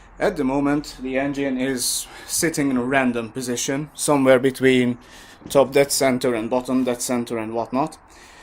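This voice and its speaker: A man's medium-pitched, monotone voice with flat intonation at a moderate pace, over noticeable background noise. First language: not English. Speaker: motorcycle mechanic. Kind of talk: tutorial. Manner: halting, many fillers.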